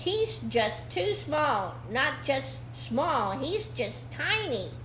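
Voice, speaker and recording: A put-on character voice at a middle pitch goes at a very slow pace over clear background noise. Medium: read story.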